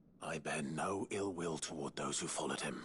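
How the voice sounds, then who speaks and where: Putting on a character voice, a man growls in a raspy, very deep, low pitch over clear background noise. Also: moderate pace. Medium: video game. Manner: measured, restrained.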